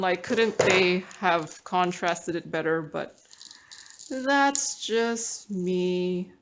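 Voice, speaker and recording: Noticeable background noise fills the clip. A woman speaks very slowly within it. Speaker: craft hobby YouTuber. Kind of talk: casual hobby tutorial. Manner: chatty, hesitant with fillers. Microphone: tablet built-in mic.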